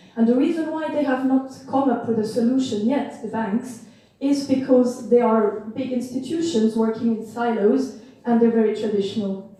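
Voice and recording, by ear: A woman's fairly high voice with a dark, mellow tone, moderate pace and ordinary pitch variation, in strong room echo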